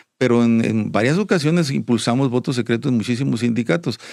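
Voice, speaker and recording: Lively intonation marks a man talking at a fairly quick pace. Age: 60s. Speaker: union leader. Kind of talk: interview. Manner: halting, many repetitions.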